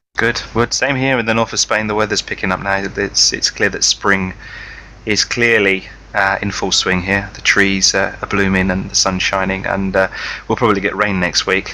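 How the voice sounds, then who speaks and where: A man with a British accent and a fairly low pitch speaks at a moderate pace in a flat monotone, with noticeable background noise. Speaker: podcast co-host. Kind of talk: casual chat. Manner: halting, many fillers.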